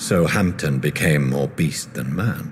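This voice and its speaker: With clear background noise, a man speaks fairly slowly in a cartoonish character voice at a very deep, low pitch. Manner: measured, somber.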